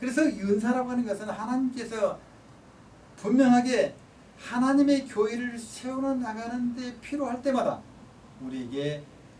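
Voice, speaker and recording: A man talks at an extremely high pitch with long, frequent pauses. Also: ordinary pitch variation, fairly slow pace. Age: 60s. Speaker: professor. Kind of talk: lecture.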